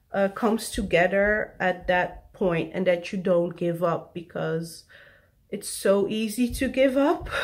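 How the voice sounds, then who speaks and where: At a fairly slow pace, a woman with a non-native accent talks at a medium pitch with ordinary pitch variation. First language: not English. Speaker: vlogger. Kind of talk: personal vlog confession. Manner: halting.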